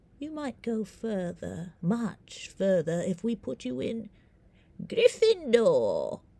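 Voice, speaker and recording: A female-sounding, put-on character voice, pitched fairly high. The pace is very slow. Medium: read story. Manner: quiet, musing, knowing.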